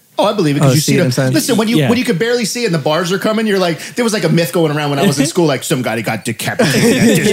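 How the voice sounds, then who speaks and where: A man speaks very fast and high, his pitch swinging very widely with hardly any pauses. Noticeable background noise runs underneath. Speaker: podcast co-host. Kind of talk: casual, slangy ("bro", "man", "dude"). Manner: enthusiastic.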